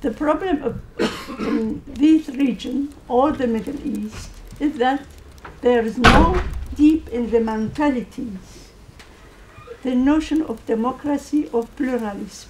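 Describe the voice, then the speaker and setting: Against noticeable background noise, a woman with a high pitch and ordinary pitch variation speaks at a very slow pace with long, frequent pauses. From Syria (Kurdish). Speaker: audience member, Kurdish organisation president. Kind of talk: Q&A comment at policy panel. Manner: halting.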